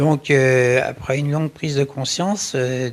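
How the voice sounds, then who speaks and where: With noticeable background noise in the clip, a man speaks very slowly. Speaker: interviewer, husband of guest. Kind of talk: interview questions.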